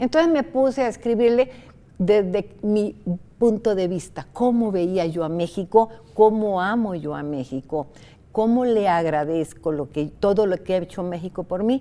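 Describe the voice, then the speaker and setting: A dark, mellow tone carries lively intonation at a fairly slow pace. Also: woman. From Costa Rica. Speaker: writer; interviewee. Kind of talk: interview. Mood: warm, animated storytelling. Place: studio. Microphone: lapel.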